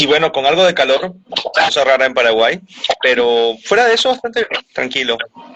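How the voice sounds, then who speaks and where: With a normal speaking voice, a man talks at a fairly quick pace and fairly high pitch, his intonation lively and his loudness very even. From Venezuela. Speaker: voice actor. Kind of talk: interview answer.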